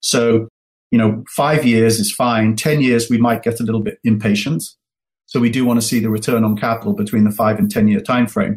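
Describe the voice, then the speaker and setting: A man with a medium-pitched voice talks fairly quickly, his intonation fairly even. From England. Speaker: venture investor. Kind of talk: interview.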